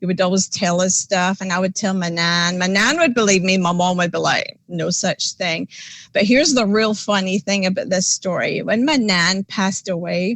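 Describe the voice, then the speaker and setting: Hardly pausing at all, a woman with a Scottish accent speaks at a medium pitch. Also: ordinary pitch variation, moderate pace. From Scotland. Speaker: paranormal investigator. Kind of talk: casual interview chat. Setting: podcast livestream.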